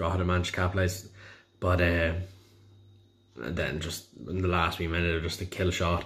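This man has an Irish accent and a very deep, low pitch. He speaks in a monotone, flat way with long, frequent pauses. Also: moderate pace. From Ireland, County Louth. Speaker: football fan. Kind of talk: match review. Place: home room. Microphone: phone near.

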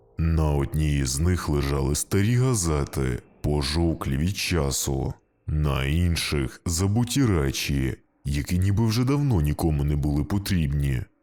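Using a put-on character voice, a man speaks at a moderate pace in a very deep, low pitch. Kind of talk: spooky bedtime story narration. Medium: read story.

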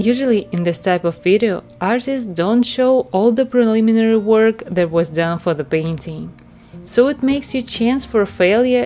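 A woman's medium-pitched voice with a non-native accent, at a moderate pace with ordinary pitch variation, over music in the background. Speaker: self-taught oil painter. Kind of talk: art tutorial narration.

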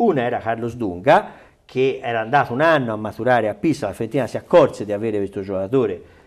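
Over a quiet background, a man's voice shows very wide pitch swings. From Italy. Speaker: sports journalist. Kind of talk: casual chat. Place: studio. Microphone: lapel.

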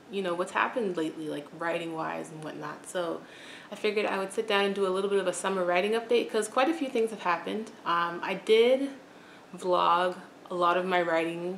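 A woman at a fairly quick pace with fairly even intonation, over light background noise and audible room echo. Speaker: writer vlogger. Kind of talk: casual vlog chat. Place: home room. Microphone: camera far.

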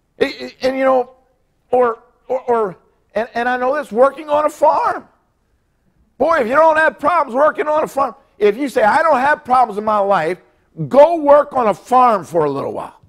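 Against a quiet background, a man with an extremely high pitch talks in an animated tone at a moderate pace, leaving long, frequent pauses. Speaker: pastor. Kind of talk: sermon; prayer meeting Bible lesson. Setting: church. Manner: animated, preacher in full flow, emphatic exclamations and repetition; folksy, conversational, halting with repeated words. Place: church. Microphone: lapel.

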